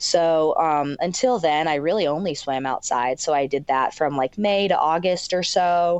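A woman with an American accent has a plain, everyday voice, pitched fairly low with ordinary variation. She keeps a moderate pace and very even loudness, with hardly any pauses. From Michigan. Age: 20s. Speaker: professional swimmer. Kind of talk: casual interview.

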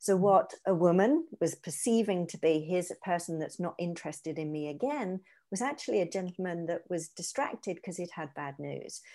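With a British accent, a woman speaks at a fairly low pitch in a dark, mellow tone, her intonation lively and her loudness swinging widely. She talks at a fairly quick pace with hardly any pauses, in a very clean recording with a silent background. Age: 40s. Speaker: positive psychologist. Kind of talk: interview, explaining psychology. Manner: hesitant repetitions.

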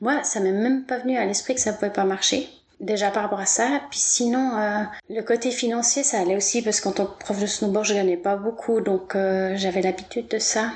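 A woman talks at a fairly high pitch and moderate pace, with fairly even intonation and very even loudness. Background noise is noticeable. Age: 40s. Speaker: massage therapist. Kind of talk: interview.

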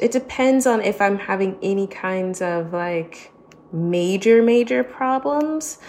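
Against noticeable background noise, a woman with an American accent speaks at a very slow pace. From United States. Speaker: podcaster. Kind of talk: panel discussion.

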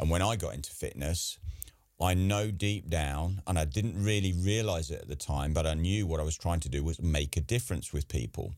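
A man with an English accent, a very deep, low pitch and ordinary pitch variation, at a fairly quick pace. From England. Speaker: podcast host. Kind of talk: casual interview.

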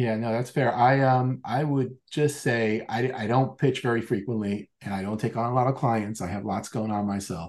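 A man with an American accent, an ordinary speaking voice, moderate pace, ordinary pitch variation, hardly any pauses, and a quiet background. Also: medium pitch for a man. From New York / New Jersey area, US. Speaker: software entrepreneur. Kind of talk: interview storytelling.

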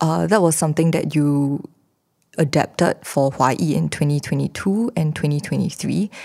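At a moderate pace, a woman speaks with a very deep, low pitch, a dark, mellow tone, ordinary pitch variation and very even loudness. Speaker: theatre director and podcast host. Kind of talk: moderated panel discussion.

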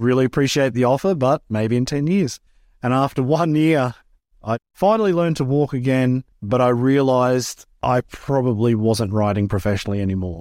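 A man with an Australian accent at medium pitch, moderate pace, lively intonation and very even loudness, in a very clean recording with a silent background. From Australia, rural Queensland. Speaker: former freestyle motocross rider, business manager. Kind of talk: interview.

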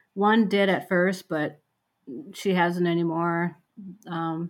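A woman speaks with an Upper Midwest accent at a fairly low pitch. The recording is very clean, with a silent background. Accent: Upper Midwest American. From rural western Minnesota. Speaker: medical social worker. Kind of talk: casual chat.

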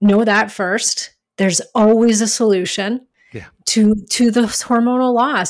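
This woman has a plain, everyday voice, fairly high in pitch. She talks at a moderate pace with ordinary pitch variation. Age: 40s. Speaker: hormone specialist. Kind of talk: interview.

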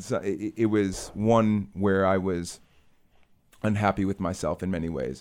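This man has an ordinary speaking voice, with an American accent, a fairly low pitch and ordinary pitch variation. He talks at a fairly slow pace on a very clean recording with a silent background. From US Midwest, Chicago. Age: 30s. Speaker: children's book author, former advertising professional. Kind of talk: casual interview.

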